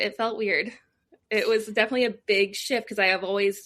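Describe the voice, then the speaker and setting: In a slight Nova Scotian accent, a woman talks at a fairly quick pace, her fairly high voice held in a monotone, flat intonation. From Nova Scotia, Canada (Lake Echo). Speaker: communications professional, former radio broadcaster. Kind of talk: casual interview chat. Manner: fast.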